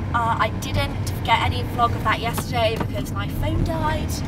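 A woman talks at a moderate pace, her sound dry with no echo, while loud noise fills the background. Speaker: horse rider vlogger. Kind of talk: casual vlog chat. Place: car. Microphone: camera far.

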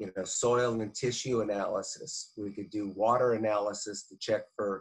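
Over a quiet background, someone speaks with an American accent in a monotone, flat intonation. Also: man. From Fresno, California; California. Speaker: agricultural advisor; guest. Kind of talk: interview. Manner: halting. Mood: calm, friendly. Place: home room. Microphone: video call.

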